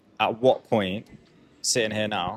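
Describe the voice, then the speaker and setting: A man mumbles his words. The sound is dry and close, with no echo. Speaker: podcast co-host. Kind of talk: casual chat. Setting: coffee shop. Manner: mumbling.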